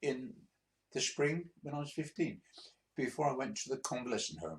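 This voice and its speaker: Lively intonation marks a man's speech, delivered with an English accent. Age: 80s+. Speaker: retired truck driver. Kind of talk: personal storytelling. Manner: halting; stuttering repetitions.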